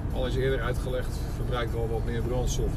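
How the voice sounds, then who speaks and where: A man speaks at a moderate pace while loud noise fills the background. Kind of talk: casual driving commentary. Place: car. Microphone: phone near.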